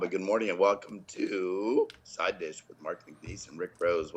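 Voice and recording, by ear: A man puts on a raspy, hoarse character voice with fairly low pitch and fairly even intonation. He speaks at a moderate pace, with big swings in loudness.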